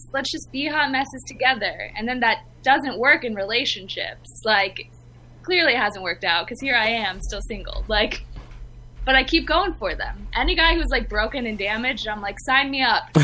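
A woman with an American accent, her raised, projected voice high in pitch, bright and sharp in tone, with lively intonation at a moderate pace. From Los Angeles. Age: young. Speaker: podcaster. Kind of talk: casual chat.

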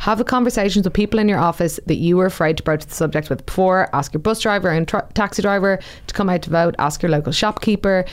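A very fast, medium-pitched woman's voice with an Irish accent, ordinary pitch variation and hardly any pauses. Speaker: podcast co-host, campaigner. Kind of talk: scripted podcast segments.

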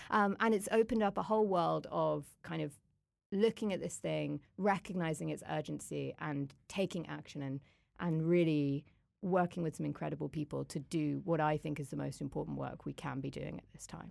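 The recording is very clean with a silent background. A woman speaks at a moderate pace with big swings in loudness. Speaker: climate hub coordinator, human rights worker. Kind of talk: casual interview conversation.

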